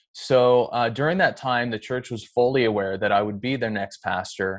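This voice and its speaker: Over a quiet background, a man with an American accent and an ordinary speaking voice talks at a moderate pace. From US Pacific Northwest (Edmonds, Washington). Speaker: pastor and former bank manager. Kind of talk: casual interview.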